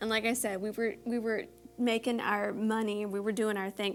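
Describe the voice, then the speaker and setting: In a Texan accent, a woman talks at a fairly quick pace with a fairly high pitch and an animated tone. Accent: Texan American. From Texas, Houston. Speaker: beauty vlogger and singer. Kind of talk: casual chat.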